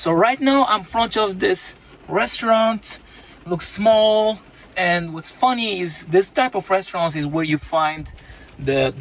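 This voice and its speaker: The sound is dry with no echo. A man speaks at a fairly slow pace. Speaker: food vlogger. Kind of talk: casual vlog chat. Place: car. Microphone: phone near.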